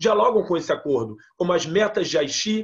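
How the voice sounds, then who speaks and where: A man is talking. His pace is fairly quick. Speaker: climate policy panelist. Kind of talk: panel talk. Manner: fast.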